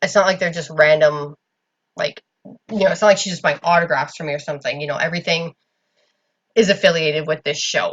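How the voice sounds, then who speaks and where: A woman's voice at a medium pitch. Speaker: YouTuber and eBay seller. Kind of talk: casual vlog. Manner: loud. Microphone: laptop recorder, had been loud and garbled.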